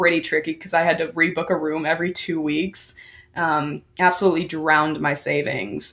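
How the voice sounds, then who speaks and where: Talking at a fairly slow pace, a woman has a normal speaking voice and a fairly low pitch. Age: 20s. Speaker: university student. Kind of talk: casual chat.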